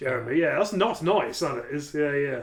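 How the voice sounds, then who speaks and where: A man speaks at a very fast pace, his pitch fairly high. Noticeable background noise runs under the clip. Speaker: podcast co-host. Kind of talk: casual chat. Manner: loud.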